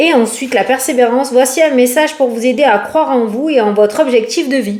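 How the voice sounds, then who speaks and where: A woman with a high pitch and an animated tone, at a moderate pace. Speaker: tarot card reader. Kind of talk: casual tarot reading to camera. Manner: chatty, animated.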